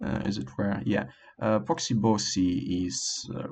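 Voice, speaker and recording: Fairly slow delivery with a non-native accent. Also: man. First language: not English. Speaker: language learner vlogger. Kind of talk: casual monologue. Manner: halting, many fillers.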